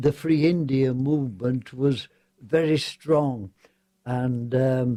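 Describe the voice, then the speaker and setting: Speaking very slowly in an English accent, a man with a dark, mellow tone keeps his intonation fairly even. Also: medium pitch for a man. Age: 90s. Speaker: war veteran. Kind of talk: radio interview storytelling. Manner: halting.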